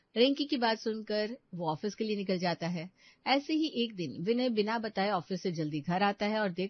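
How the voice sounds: The recording features a natural reading voice throughout.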